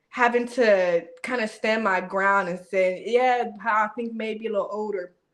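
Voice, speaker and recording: A woman with a normal speaking voice, fairly high pitch and fairly even intonation. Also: fairly slow pace. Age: 30s. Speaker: podcast co-host. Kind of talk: casual chat.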